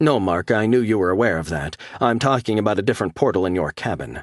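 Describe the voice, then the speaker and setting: A man uses a put-on, growling character voice with a fairly low pitch. He races along at a very fast pace with lively intonation. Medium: read story. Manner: crisp, informative.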